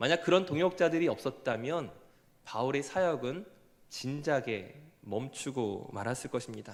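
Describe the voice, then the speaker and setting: At a fairly slow pace, a man with a fairly high pitch speaks with lively intonation. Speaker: pastor. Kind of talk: sermon.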